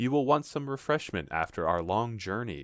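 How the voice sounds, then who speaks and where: A man's put-on character voice at medium pitch, on a very clean recording with a silent background. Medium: read story. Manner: polite, superior.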